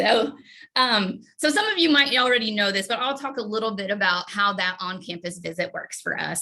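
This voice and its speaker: At a fairly quick pace, a woman speaks with a fairly high pitch. Her pitch varies in an ordinary way. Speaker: graduate program coordinator. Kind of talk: informational presentation. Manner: fast.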